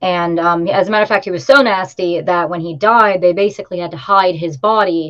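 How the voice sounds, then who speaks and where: Against a quiet background, a woman with an ordinary speaking voice and fairly low pitch talks at a fairly quick pace with ordinary pitch variation. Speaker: witch, tour guide and tarot reader; tour guide, tarot reader. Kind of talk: casual interview. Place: home room. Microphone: video call.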